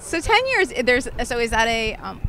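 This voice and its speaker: A woman against noticeable background noise. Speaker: podcast host. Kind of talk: casual chat. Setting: outdoors.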